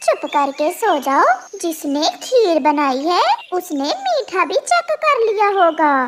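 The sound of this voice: Putting on a cartoonish character voice, a woman speaks at an extremely high pitch and a fairly slow pace, with clear background noise behind her.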